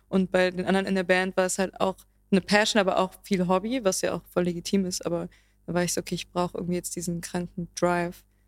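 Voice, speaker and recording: A woman speaks very fast at a medium pitch with monotone, flat intonation. The sound is dry and close, with no echo. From Germany, Berlin. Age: 20s. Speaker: singer-songwriter. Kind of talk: casual interview chat.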